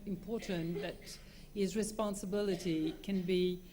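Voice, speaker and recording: With audible room echo, a woman speaks at medium pitch and a moderate pace in a dark, mellow, somewhat breathy tone with monotone, flat intonation. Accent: French. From France. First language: French. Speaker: lawyer. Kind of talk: conference talk. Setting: conference with audience. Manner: halting, many fillers.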